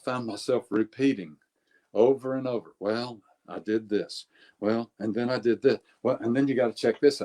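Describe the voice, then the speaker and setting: A man speaks at a moderate pace in a dark, mellow tone, his intonation fairly even. The sound is dry and close with no echo, and his loudness swings widely. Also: medium pitch for a man. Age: 60s. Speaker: life longevity coach. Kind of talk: interview.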